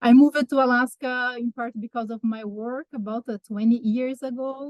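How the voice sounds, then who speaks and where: In a Brazilian accent, a woman with a high pitch speaks at a moderate pace in a monotone, flat manner, her loudness swinging widely, in a dry, close sound with no echo. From southeast and south Brazil. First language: Portuguese. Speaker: wildlife research analyst. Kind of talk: public presentation. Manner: halting, many fillers.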